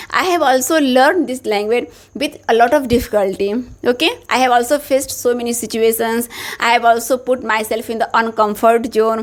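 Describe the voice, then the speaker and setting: High in pitch, a woman speaks with ordinary pitch variation. Her pace is fairly quick. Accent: Indian. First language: Hindi. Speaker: English teacher, YouTuber. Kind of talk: motivational tutorial.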